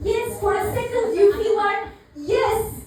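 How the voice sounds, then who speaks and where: A woman talks with a Turkish accent at an extremely high pitch. Audible room echo surrounds her voice. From Turkey. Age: 30s. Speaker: comedian. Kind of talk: stand-up. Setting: stage with audience. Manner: hesitant, many fillers.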